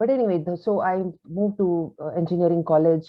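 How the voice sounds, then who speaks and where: This woman talks at a moderate pace in a fairly low pitch. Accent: Kannada. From India, grew up in Delhi and Calcutta. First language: Kannada. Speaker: author. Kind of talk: interview. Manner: hesitant, many fillers.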